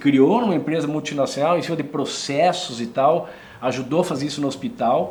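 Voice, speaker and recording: A man speaks at a moderate pace in a fairly high pitch with ordinary pitch variation, with audible room echo and noticeable background noise. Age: 60s. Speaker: former politician. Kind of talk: interview. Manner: animated.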